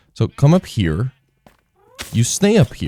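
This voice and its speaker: Very wide pitch swings mark this man's fairly slow speech. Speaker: gaming youtuber. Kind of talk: gameplay commentary. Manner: casual, rambling.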